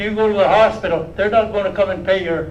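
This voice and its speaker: A man speaks with a high pitch. There is audible room echo and noticeable background noise. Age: 80s+. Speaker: First Nation chief. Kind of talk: speech at public briefing. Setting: live-streamed public health media event.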